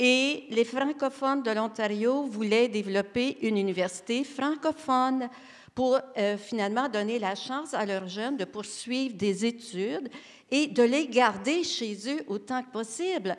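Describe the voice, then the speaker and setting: A woman speaks at a fairly slow pace in a Quebec accent, her fairly high voice showing ordinary pitch variation. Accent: Québécois French. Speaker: education panelist. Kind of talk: round table discussion.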